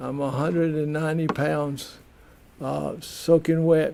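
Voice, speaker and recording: Over noticeable background noise, a man with a Southern US accent speaks very slowly in a fairly high pitch. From US South. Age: 70s. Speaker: community TV host. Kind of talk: personal monologue. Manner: halting, many repetitions.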